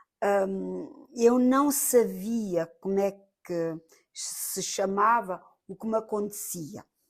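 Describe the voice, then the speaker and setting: In a very clean recording with a silent background, a woman talks very slowly at a medium pitch, with ordinary pitch variation and big swings in loudness. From Portugal. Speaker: medium and charity volunteer. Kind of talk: interview testimony. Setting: on location in France. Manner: halting.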